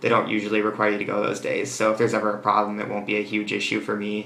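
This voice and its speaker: Speaking at a very fast pace with an American accent, a man uses a fairly low pitch and a bright, sharp tone against audible room echo. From United States. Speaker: exchange student vlogger. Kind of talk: casual vlog monologue. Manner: hesitant, many fillers.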